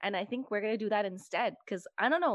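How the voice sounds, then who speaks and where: Against a quiet background, a woman with an ordinary speaking voice talks at a fairly high pitch and a fairly quick pace. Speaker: podcast host, hairstylist. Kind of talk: casual chat.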